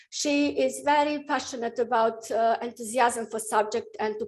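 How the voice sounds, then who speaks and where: A woman's fairly high-pitched voice at a moderate pace, on a very clean recording with a silent background. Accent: Bosnian. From Bosnia and Herzegovina. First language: Bosnian. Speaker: professor of nuclear medicine. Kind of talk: lecture. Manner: halting, many fillers.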